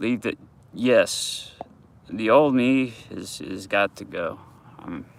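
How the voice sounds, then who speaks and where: Amid noticeable background noise, a man mumbles at a very slow pace with long, frequent pauses and big swings in loudness. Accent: American. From US South, Georgia. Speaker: vlogger. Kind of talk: casual live vlog. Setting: outdoors at dog park. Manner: mumbling; halting.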